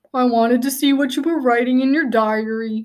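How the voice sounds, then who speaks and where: Putting on a character voice, a woman talks at a fairly quick pace in a high pitch with fairly even intonation. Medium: read story.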